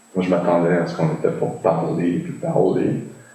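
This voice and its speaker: Heard with audible room echo and noticeable background noise, a man with a very deep, low pitch speaks at a moderate pace using lively intonation. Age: 60s. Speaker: meditation practitioner, former classical guitarist. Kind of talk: interview. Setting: video call. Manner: halting, many filler sounds.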